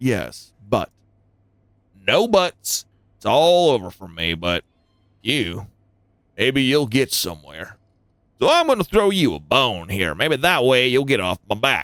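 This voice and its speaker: A man does a put-on character voice at a medium pitch, with very wide pitch swings, a fairly slow pace and long, frequent pauses, on a very clean recording with a silent background. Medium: game stream. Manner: gruff, wary.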